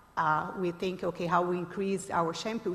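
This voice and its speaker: A woman with a Brazilian accent speaks at a fairly quick pace and a medium pitch. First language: Portuguese. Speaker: startup founder, panelist. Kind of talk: panel discussion. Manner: hesitant, many fillers.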